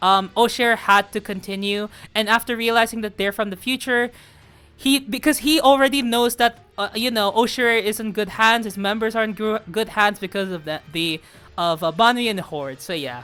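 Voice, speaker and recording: A woman talks at a moderate pace with a fairly high pitch. Her tone is bright and sharp, with ordinary pitch variation. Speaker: gaming YouTuber reading game story. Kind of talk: story review commentary. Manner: halting, self-correcting.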